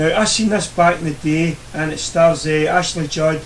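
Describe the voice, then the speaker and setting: A man with a Scottish accent talks at a moderate pace in a fairly high pitch, his intonation monotone and flat. Noticeable background noise and audible room echo fill the recording. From Scotland. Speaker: YouTuber reviewing DVD purchases. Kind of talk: casual video review. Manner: hesitant, many fillers.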